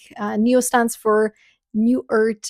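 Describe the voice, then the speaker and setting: A woman is speaking. She has a Bulgarian accent. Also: dry, close sound with no echo. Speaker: spiritual content creator and podcaster. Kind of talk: vlog update with product promotion.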